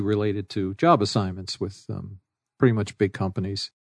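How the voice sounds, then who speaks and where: With an American accent, a man speaks in a plain, everyday voice, fairly low-pitched and fairly quick, with fairly even intonation against a quiet background. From New York City. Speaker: business executive and adjunct professor. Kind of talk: interview.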